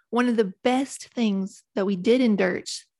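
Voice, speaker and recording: On a very clean recording with a silent background and a dry, close sound with no echo, a woman with an Appalachian accent speaks at a fairly high pitch with ordinary pitch variation. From West Virginia Appalachia. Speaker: author. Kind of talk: casual interview chat.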